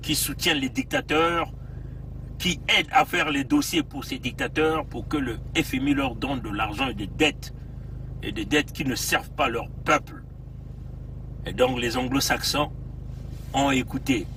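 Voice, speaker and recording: Speaking at a fairly slow pace with long, frequent pauses, a man with a fairly high pitch keeps his intonation fairly even. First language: Bembe (speaking French). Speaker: political activist livestreamer. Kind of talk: livestream commentary. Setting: in a car, outdoors in cold. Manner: hesitant, many fillers.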